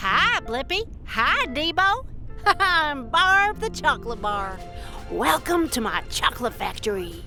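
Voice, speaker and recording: Clear music plays behind a high-pitched, cartoonish character voice delivered at a fairly slow pace. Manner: cheerful, friendly.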